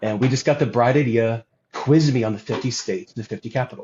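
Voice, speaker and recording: Somewhat breathy and with an American accent, a man speaks at a fairly quick pace at medium pitch with ordinary pitch variation. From US South. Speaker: guest on religious podcast. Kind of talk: casual chat.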